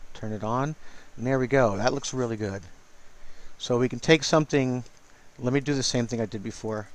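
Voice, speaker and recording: Talking at a fairly quick pace at medium pitch, a man keeps a fairly even intonation while leaving long, frequent pauses. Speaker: digital artist. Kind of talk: tutorial. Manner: casual; mumbling.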